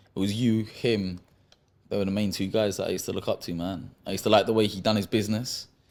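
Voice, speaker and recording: Over a very clean recording with a silent background, a man speaks at a very fast pace. His pitch is fairly low and his intonation monotone and flat. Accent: London. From London, Acton, West London. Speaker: professional boxer. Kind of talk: casual podcast interview.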